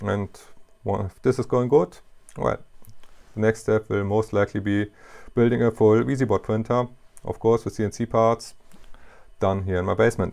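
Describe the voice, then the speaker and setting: A man with a German accent speaks at a fairly low pitch and a moderate pace, leaving long, frequent pauses. His intonation stays fairly even against a quiet background. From Germany. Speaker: hobbyist machinist YouTuber. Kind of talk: tutorial. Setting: home workshop in basement. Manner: halting, with fillers. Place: workshop.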